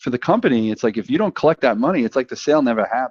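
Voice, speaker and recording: A man with a Brooklyn accent speaks with lively intonation, the sound dry and close with no echo against a quiet background. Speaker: sales professional. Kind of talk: casual chat.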